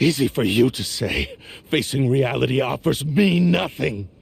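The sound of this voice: Someone does a put-on character voice at a fairly slow pace, with lively intonation. Vocal fry and a slightly husky edge run through it. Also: man, medium pitch for a man.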